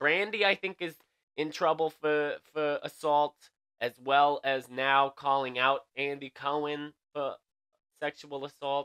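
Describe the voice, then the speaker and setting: Over a quiet background, a man with a fairly high pitch speaks in a bright, sharp tone. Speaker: late night news show host. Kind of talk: comedic news commentary. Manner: casual, animated. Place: home room.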